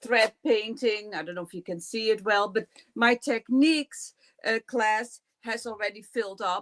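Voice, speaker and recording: With a Dutch accent, a woman speaks in a fairly high pitch, her loudness swinging widely, in a dry, close sound with no echo. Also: ordinary pitch variation, moderate pace. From Netherlands. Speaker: quilting teacher. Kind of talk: interview. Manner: halting.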